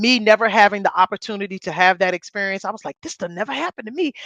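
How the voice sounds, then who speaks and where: Against a quiet background with a dry, close sound and no echo, a woman with a fairly high pitch speaks at a very fast pace, animated in tone and lively in intonation. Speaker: podcast co-host. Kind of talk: casual chat. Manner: loud.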